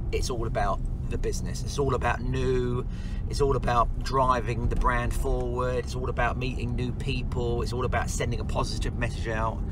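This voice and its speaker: Noticeable background noise sits under the speech. The sound is dry with no echo, and the pace is moderate. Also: man. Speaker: business owner vlogger. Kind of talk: casual vlog chat. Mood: upbeat, enthusiastic. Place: car. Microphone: phone near.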